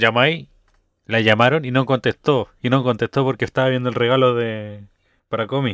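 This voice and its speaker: A man with a Chilean accent speaks at a medium pitch. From Chile, Rancagua. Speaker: podcast co-host. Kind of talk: casual chat.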